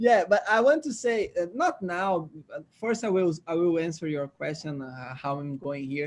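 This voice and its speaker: This man speaks in a Brazilian Portuguese accent at a high pitch. His pitch varies in an ordinary way, at a moderate pace. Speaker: laughter yoga trainer. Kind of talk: casual interview. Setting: video call. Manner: halting.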